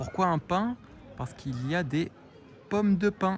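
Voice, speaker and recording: Over music in the background, the speaker talks at a fairly slow pace with lively intonation. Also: man. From southern France, Provence. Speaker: French teacher. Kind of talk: vlog-style language lesson. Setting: outdoors. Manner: slow, clear.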